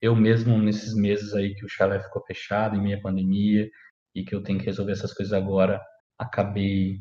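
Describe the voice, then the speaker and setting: A man's dark, mellow voice, fairly low in pitch, monotone and flat in intonation, at a moderate pace. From Brazil, Paraná (Maringá area). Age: 20s. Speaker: podcaster. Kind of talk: personal monologue. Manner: casual, halting.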